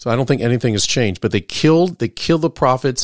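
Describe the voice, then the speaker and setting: Ordinary pitch variation runs through a plain, everyday voice. The recording is very clean, with a silent background and a dry, close sound with no echo. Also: man. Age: 50s. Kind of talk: casual Bible discussion.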